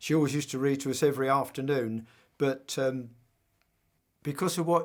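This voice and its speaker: A man with a southern English accent speaks at a moderate pace, his pitch fairly high for a man. The recording is very clean, with a silent background. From southern England. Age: 80s+. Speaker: war veteran. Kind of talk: testimony.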